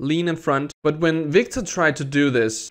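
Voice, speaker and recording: The setting is quiet. A man talks in a non-native accent. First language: not English. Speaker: skateboarding youtuber. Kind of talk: video voiceover tutorial. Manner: casual.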